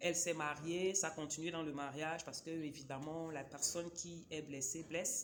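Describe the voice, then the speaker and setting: This woman's voice is pitched very deep and low, and she speaks at a moderate pace. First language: a Cameroonian local language (speaking French). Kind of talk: casual book review vlog. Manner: hesitant, many fillers.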